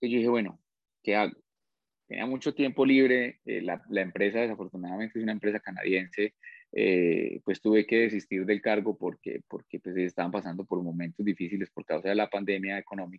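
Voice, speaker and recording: Fairly quick in pace, a man speaks at a fairly low pitch. His intonation is fairly even. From Colombia, Pitalito, Huila. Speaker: plant biotechnologist. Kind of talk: casual interview. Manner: halting, repeats words.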